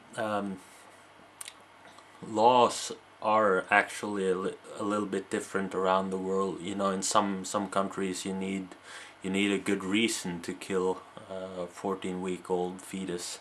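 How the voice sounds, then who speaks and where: A man with a Norwegian accent speaks at a fairly slow pace in a very deep, low pitch. His intonation is monotone and flat, with long, frequent pauses. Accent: faint Norwegian. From Norway. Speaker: video blogger. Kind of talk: casual monologue to camera. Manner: halting, many repetitions and fillers.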